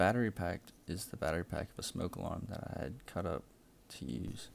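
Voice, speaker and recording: A man with a very deep, low pitch, vocal fry and a fairly quick pace. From South Louisiana marshes. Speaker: engineering student. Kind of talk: class project presentation. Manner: scripted.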